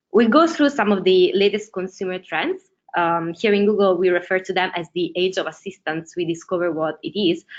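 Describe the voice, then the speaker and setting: A woman with an Italian accent, medium pitch, ordinary pitch variation, and a fairly quick pace. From Italy. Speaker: ads strategist. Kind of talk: webinar presentation. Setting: online webinar.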